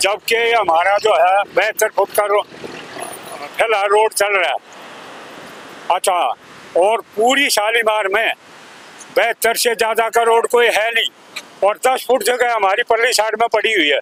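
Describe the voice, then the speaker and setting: Noticeable background noise sits behind a man whose high-pitched voice shows ordinary pitch variation. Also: very even loudness. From Delhi. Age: 70s. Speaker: local resident. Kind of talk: street interview. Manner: halting.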